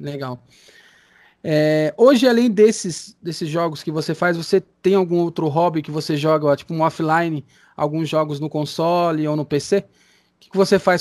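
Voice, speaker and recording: In a normal speaking voice, a man with a fairly high pitch talks at a moderate pace, his pitch varying in an ordinary way while his loudness swings widely. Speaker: radio host. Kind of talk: interview. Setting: Skype call.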